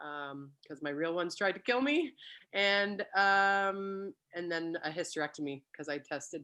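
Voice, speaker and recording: A woman with a Canadian accent speaks in a fairly low pitch, her tone bright and sharp and her intonation lively. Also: quiet background. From Canada (British Columbia). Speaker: network marketing consultant. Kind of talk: casual chat. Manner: fast.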